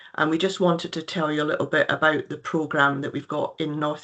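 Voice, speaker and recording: A woman speaks with a very deep, low pitch and a slight Scottish accent. Her intonation is monotone and flat. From Scotland. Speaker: nurse and health care director. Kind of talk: presentation. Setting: video call. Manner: hesitant, many fillers.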